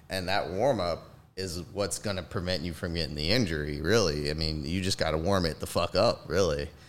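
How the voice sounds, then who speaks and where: A man with an American accent speaks at a fairly quick pace in a very deep, low voice with ordinary pitch variation. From US South. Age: 30s. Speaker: pediatric nurse. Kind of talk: casual chat. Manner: animated.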